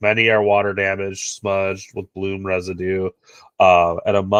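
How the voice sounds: Quiet background behind a natural reading voice.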